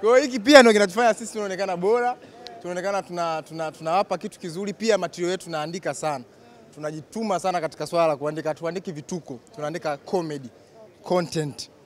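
A man's high voice, very fast, with ordinary pitch variation, light background noise and a dry sound with no echo. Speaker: comedian being interviewed. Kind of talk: interview answer. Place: station. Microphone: handheld.

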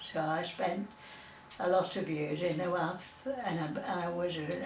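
A woman with a Lancashire accent at a fairly low pitch and ordinary pitch variation, amid light background noise and audible room echo. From Preston, Lancashire, England. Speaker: war veteran. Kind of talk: oral history interview answer. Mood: fond, cheerful memories. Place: home room. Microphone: camera far.

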